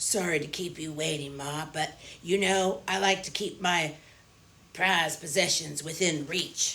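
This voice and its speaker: A gruff, raspy put-on character voice at a middle pitch with fairly even intonation. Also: moderate pace. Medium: read story. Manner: friendly, casual.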